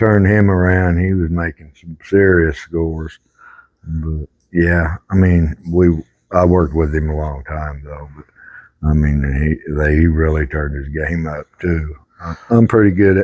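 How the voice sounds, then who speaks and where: In a Southern US accent, a man with a very deep, low pitch keeps his intonation fairly even while his loudness swings widely. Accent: US South. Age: 60s. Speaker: pool player. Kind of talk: casual chat.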